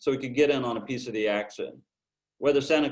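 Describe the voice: A passage is read aloud in a plain way. The pitch varies normally, and the surroundings are quiet.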